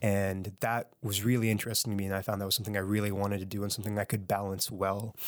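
A man at a very fast pace with a Nova Scotian accent, monotone and flat in intonation, on a very clean recording with a silent background. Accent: Canadian (Nova Scotia). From Halifax, Nova Scotia, Canada. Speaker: musician and educator. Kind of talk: interview.

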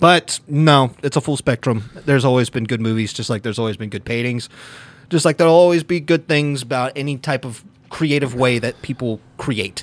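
This man has a plain, everyday voice, pitched in the medium range, moving fairly quickly with ordinary pitch variation. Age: 30s. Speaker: podcast co-host. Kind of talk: casual chat.

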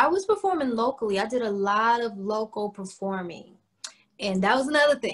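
An unremarkable speaking voice belongs to a woman with an American accent and a fairly high pitch. She speaks at a moderate pace. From Cleveland, Ohio, US Midwest. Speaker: R&B singer-songwriter. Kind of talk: casual interview chat. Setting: video call.

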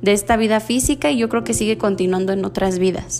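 A woman speaks with ordinary pitch variation. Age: 20s. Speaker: spiritual podcaster. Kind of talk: casual monologue.

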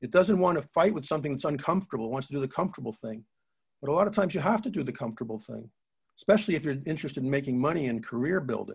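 Speaking very fast, a man with a fairly high pitch sounds somewhat breathy and uses lively intonation. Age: 70s. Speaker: entrepreneur and author. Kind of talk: interview.

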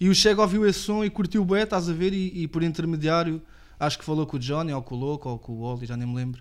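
A man talks at a very fast pace in a fairly high-pitched voice. His intonation is lively. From Portugal, Lisbon area (Apelação). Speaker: rapper. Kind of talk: casual chat. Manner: casual, slangy.

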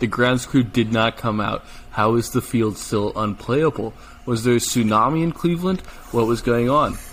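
Against noticeable background noise, a man speaks at a moderate pace and medium pitch with ordinary pitch variation and very even loudness. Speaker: podcast co-host. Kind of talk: casual sports podcast chat.

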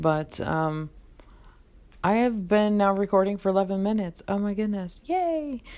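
A woman's dark, mellow voice at a moderate pace. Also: medium pitch for a woman, lively intonation. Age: 40s. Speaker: podcaster and YouTuber. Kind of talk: casual solo monologue. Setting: recording at home in bed.

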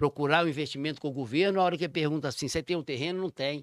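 A man's voice with ordinary pitch variation, very cleanly recorded against a silent background, dry and close with no echo. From Minas Gerais, Raposos. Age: 50s. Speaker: mayor. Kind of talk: casual chat.

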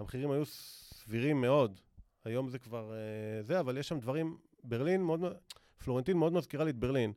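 On a very clean recording with a silent background, a man talks at a fairly quick pace in a dark, mellow tone, medium in pitch with ordinary pitch variation. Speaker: author, former lawyer. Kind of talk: casual interview.

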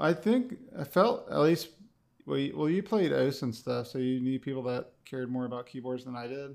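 With an American accent and a normal speaking voice, a man talks at medium pitch and a moderate pace, using ordinary pitch variation. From Connecticut. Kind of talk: casual chat.

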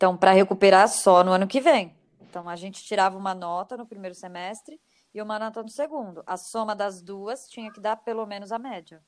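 A plain, everyday voice at a fairly quick pace, with ordinary pitch variation and big swings in loudness. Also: woman, medium pitch for a woman. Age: 30s. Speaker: psychology graduate, HR professional. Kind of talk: casual chat.

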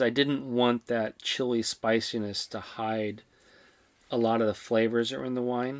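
A man speaks at a fairly slow pace and a medium pitch with fairly even intonation. The recording is very clean with a silent background, and the sound is dry and close with no echo. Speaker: wine podcast co-host. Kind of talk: casual chat. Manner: low energy.

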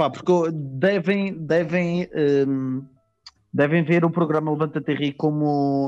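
With a Madeiran accent, a man speaks at a very slow pace and a fairly high pitch, keeping very even loudness and fairly even intonation. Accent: Madeiran Portuguese, noticeable. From Madeira, Portugal. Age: 20s. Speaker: stand-up comedian. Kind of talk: casual chat.

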